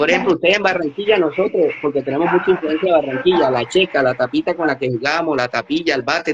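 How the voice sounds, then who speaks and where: Very fast and fairly high-pitched, a man speaks with ordinary pitch variation over noticeable background noise. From Colombian Caribbean coast, Magdalena. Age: 40s. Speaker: artisan crafts business manager and cultural researcher. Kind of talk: podcast interview.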